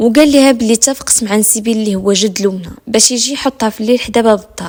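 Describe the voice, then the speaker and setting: Fairly high in pitch, a woman talks at a fairly quick pace with fairly even intonation and a Moroccan accent. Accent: Moroccan Darija. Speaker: storyteller. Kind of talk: true crime story narration. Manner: suspenseful.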